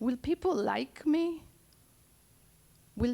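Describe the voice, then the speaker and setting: Speaking very slowly, a woman has a dark, mellow tone and ordinary pitch variation. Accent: Argentine. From Argentina, Buenos Aires. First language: Spanish. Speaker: poet and storyteller. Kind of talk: live storytelling.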